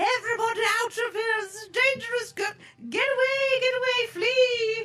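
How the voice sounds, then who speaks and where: Extremely high-pitched speech in a put-on character voice. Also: moderate pace. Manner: loud, commanding, urgent.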